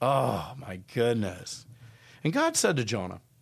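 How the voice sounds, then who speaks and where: On a very clean recording with a silent background, a somewhat breathy man speaks at a fairly slow pace with very wide pitch swings. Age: 60s. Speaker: pastor. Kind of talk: casual chat.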